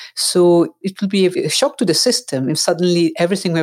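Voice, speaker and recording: This woman has an unremarkable speaking voice and a fairly low pitch, talking at a fairly quick pace. The sound is dry and close with no echo. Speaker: psychiatrist and coach. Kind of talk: casual interview conversation. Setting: remote call.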